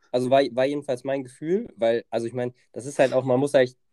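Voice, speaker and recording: The speaker's tone is dark and mellow, with fairly even intonation, at a very fast pace. The sound is dry and close, with no echo. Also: man. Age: 20s. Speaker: federal volunteer at a horse farm. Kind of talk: casual chat. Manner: hesitant, many filler sounds.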